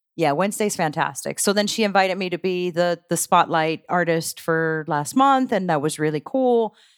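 With an ordinary speaking voice, a woman talks at a moderate pace with hardly any pauses, a fairly low pitch and lively intonation, in dry, close sound with no echo on a very clean recording with a silent background. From grew up partly abroad, moved to the US as a child. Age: 40s. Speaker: local music promoter and musician. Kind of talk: casual chat.

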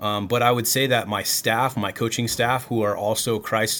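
A man's normal speaking voice at medium pitch. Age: 30s. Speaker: college baseball coach and former professional baseball player. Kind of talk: casual chat.

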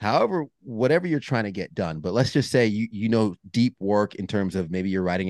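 Over a quiet background, a man talks at a fairly quick pace with ordinary pitch variation and a dry, close sound with no echo. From Long Island, New York. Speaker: meteorologist and men's group founder. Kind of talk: casual interview.

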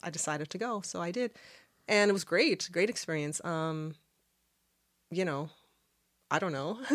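A woman's fairly low voice with ordinary pitch variation, on a very clean recording against a silent background. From Halifax, Nova Scotia, Canada. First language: Arabic. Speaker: podcast guest. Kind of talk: casual chat.

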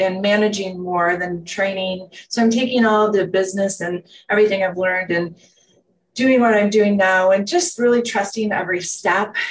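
Her voice is an unremarkable speaking voice, a woman at medium pitch and moderate pace with fairly even intonation. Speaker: wellness center manager and former business owner. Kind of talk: casual interview chat.

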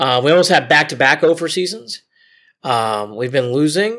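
The speaker has a Midwestern American accent and lively intonation. The recording is very clean, with a silent background. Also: man. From Ohio, Cleveland area. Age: 40s. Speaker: sports documentary producer. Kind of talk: interview.

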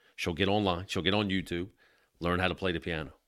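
The recording is very clean, with a silent background. The voice has vocal fry and moves at a fairly quick pace. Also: man. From South Jersey, near Atlantic City. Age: 40s. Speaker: police union president. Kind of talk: casual chat.

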